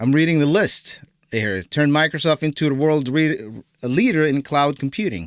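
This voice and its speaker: A man with a non-native accent speaks at a fairly high pitch and moderate pace with lively intonation, in a very clean, dry, close recording with a silent background and no echo. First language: not English. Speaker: political commentary youtuber. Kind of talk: reaction video commentary. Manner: halting, many fillers and repeats.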